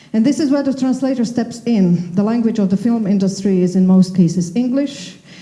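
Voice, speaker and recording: A woman talks fairly quickly at a fairly high pitch, with hardly any pauses and very even loudness. Noticeable background noise can be heard. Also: ordinary pitch variation. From Slovakia. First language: Slovak. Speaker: panel moderator. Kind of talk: panel discussion.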